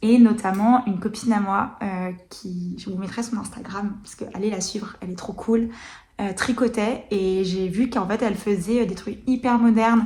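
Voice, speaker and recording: Delivered at a moderate pace with fairly even intonation, the speech has big swings in loudness over noticeable background noise. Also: woman, fairly high pitch for a woman. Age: 20s. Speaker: knitting podcaster. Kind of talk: casual chat. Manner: hesitant, many fillers.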